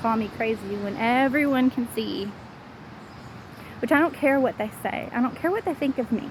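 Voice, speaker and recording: Noticeable background noise sits behind a woman with a Southern US accent, whose fairly high voice moves with ordinary pitch variation at a moderate pace. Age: 40s. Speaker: vlogger. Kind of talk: personal vlog monologue. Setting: outdoors, walking.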